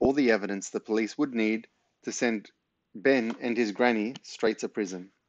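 Quiet surroundings and an unforced reading voice

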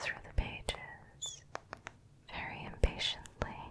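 A breathy, soft-spoken woman whispering at a very slow pace, with noticeable background noise. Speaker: ASMR creator. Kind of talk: soft-spoken ASMR book chat. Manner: soft breathy whisper, close to mic. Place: home room. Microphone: studio mic.

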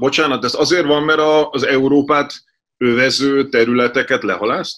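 A man speaks in an ordinary speaking voice, pitched fairly high. His intonation stays fairly even against a quiet background. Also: moderate pace. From Hungary. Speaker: editor-in-chief, interviewer; interviewer. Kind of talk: interview. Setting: studio. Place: home room. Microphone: video call.

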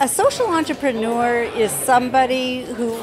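Fairly slow speech over music in the background. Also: woman. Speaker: guest. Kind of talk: interview answer. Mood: warm, enthusiastic. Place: hall. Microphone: handheld.

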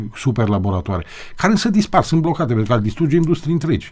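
Speaking at a very fast pace, a man with a fairly high pitch makes very wide pitch swings. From Romania. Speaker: TV host. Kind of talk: interview discussion on TV. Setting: TV studio. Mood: earnest, critical. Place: studio. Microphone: studio mic.

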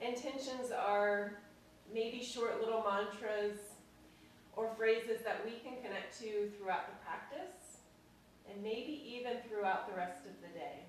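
A woman's fairly high voice at a fairly slow pace, with audible room echo and light background noise. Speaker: yoga instructor. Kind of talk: guided yoga class. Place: home room. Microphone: camera far.

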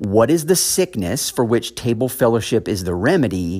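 The speech comes at a moderate pace against a quiet background. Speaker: preacher. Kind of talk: sermon. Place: church.

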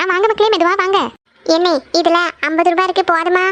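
This is a cartoonish character voice that sounds female. It is squeaky and extremely high in pitch. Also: moderate pace. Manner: warm, homely.

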